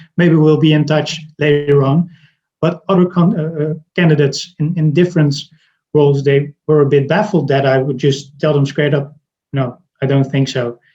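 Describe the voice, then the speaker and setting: A man's fairly high, dark, mellow voice, somewhat breathy, with a Dutch accent, fairly even intonation, and a moderate pace. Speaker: recruiter. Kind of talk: interview. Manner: halting, many repetitions and fillers.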